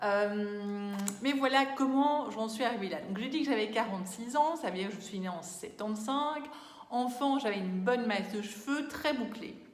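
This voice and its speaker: Her voice sits fairly high in pitch. The woman speaks at a moderate pace, with room echo audible. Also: ordinary pitch variation. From Belgium. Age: 40s. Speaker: beauty vlogger. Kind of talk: casual vlog talk. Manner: hesitant, many fillers.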